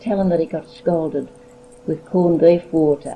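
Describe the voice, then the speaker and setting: A woman speaks in a fairly low voice with fairly even intonation over noticeable background noise. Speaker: grandmother recalling family history. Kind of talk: oral history interview. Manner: halting.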